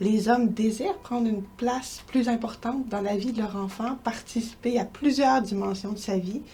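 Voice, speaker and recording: With a slight Quebec accent, a woman speaks at a moderate pace and fairly high pitch, somewhat breathy, in a dark, mellow tone with fairly even intonation. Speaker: researcher and professor. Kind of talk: interview.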